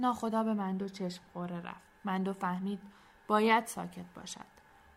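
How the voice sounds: Fairly even intonation in a natural reading voice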